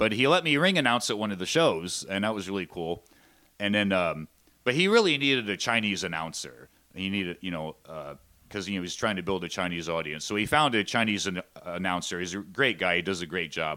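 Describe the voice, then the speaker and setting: Recorded very cleanly with a silent background, a man speaks in a Pennsylvania accent at a fairly quick pace. His fairly low voice has a bright, sharp tone and lively intonation. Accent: Pennsylvania American. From Pennsylvania coal region (Shamokin). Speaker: pro wrestling ring announcer. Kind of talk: casual interview.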